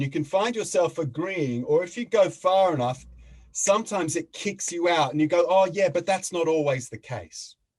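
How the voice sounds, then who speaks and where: Here a man with an Australian accent talks at a moderate pace in a high pitch with ordinary pitch variation. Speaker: facilitator and mediator. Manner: halting.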